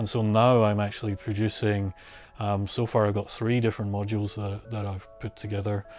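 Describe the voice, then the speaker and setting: A man speaks with a Scottish accent. Music plays in the background. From Scotland, Glasgow. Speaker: synth module maker. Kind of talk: documentary interview. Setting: home studio. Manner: casual, hesitant with many fillers.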